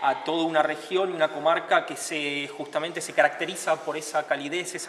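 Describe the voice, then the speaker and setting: A man keeps a moderate speed and fairly even intonation, with light background noise behind him. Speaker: tourism worker or guide. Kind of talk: interview answer. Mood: calm, earnest. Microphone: handheld.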